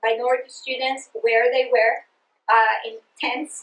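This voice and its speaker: The speaker has a Greek accent. The pace is fairly slow. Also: woman. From Greece (Sparta, Peloponnese). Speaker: education researcher and trainer. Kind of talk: presentation to teachers. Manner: halting, many fillers; passionate.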